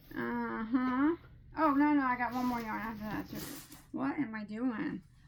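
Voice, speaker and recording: A woman with an American accent, high-pitched, at a fairly slow pace with ordinary pitch variation. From US Midwest. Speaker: crochet youtuber. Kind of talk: yarn haul chat. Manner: halting, many fillers; enthusiastic.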